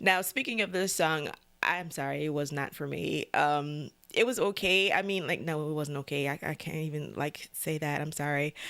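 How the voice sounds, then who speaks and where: A woman with a very deep, low pitch and a bright, sharp tone talks at a moderate pace with ordinary pitch variation in a very clean recording with a silent background. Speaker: music reaction video host. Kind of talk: casual reaction commentary. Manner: stammers when flustered or excited; casual, hesitant with fillers.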